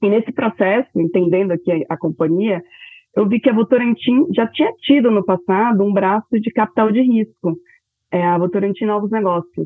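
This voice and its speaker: Using a normal speaking voice, a woman keeps a moderate pace at medium pitch with ordinary pitch variation. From Bahia, Brazil (Salvador). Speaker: corporate venture capital executive. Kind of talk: interview.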